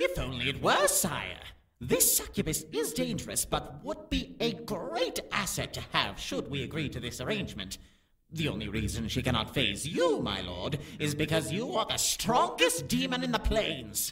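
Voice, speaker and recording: Someone puts on a character voice at a middle pitch and a moderate pace. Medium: audio drama. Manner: deferential, calm.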